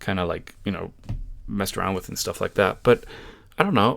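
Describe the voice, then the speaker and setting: Over a silent background on a very clean recording, a man talks at a very fast pace. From United States. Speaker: YouTuber reacting to a streamer. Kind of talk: reaction commentary. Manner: casual, with many fillers.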